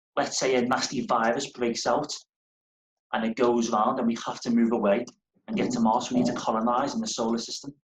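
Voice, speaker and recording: Using a Liverpool accent, a man speaks at a fairly quick pace with ordinary pitch variation. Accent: Liverpool (Scouse). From northern England, Liverpool. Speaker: space company engineer. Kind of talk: school Q&A talk.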